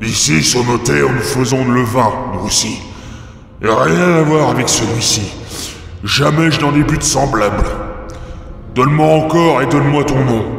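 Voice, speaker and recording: A man's put-on character voice at medium pitch and moderate pace, with long, frequent pauses and clear echo. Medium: read story. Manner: gruff, greedy.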